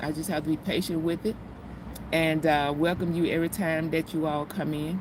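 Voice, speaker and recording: At a moderate pace, a woman speaks with a fairly low pitch. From US South, Mississippi. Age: 50s. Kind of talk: casual chat. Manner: halting.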